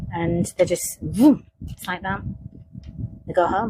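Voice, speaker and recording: A woman speaks in a Hull accent. Her pace is very slow. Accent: Hull accent, similar to Lancashire. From northern England, Hull. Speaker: psychic investigator. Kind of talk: monologue reflection. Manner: halting, with many restarts.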